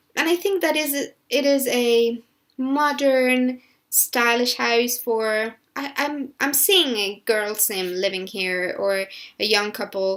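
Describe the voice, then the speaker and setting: Someone with a Spanish accent speaks at a very slow pace with ordinary pitch variation. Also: woman. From Spain. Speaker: gaming YouTuber. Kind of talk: voiceover commentary on a build video. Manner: halting with many fillers and restarts.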